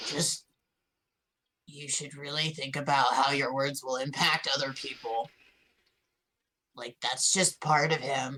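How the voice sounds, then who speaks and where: The put-on character voice is raspy, with a low-to-middle pitch. It moves at a fairly slow pace, with long pauses coming often. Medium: actual play. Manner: casual slangy, says bruh and buddy.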